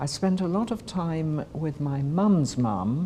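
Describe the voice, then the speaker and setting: With a British accent, a woman in a dark, mellow tone uses a very deep, low pitch, a somewhat breathy sound and very wide pitch swings. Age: 70s. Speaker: Holocaust survivor. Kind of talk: testimony.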